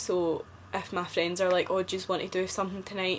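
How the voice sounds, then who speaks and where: A woman speaks with a Scottish accent. Her pitch is medium. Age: 20s. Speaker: vlogger. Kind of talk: casual chat.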